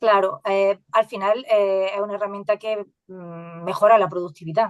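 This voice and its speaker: A woman's medium-pitched voice in an Andalusian accent, with fairly even intonation, big swings in loudness, a moderate pace and a dry, close sound with no echo. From Andalusia, Spain. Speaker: AI educator and science communicator. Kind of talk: podcast interview. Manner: halting.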